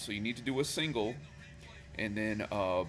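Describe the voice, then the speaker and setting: Music plays in the background. Over it, a man speaks fairly quickly with a fairly low pitch. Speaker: Excel VBA tutorial maker. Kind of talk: casual screen-recorded tutorial. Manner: casual, hesitant with fillers.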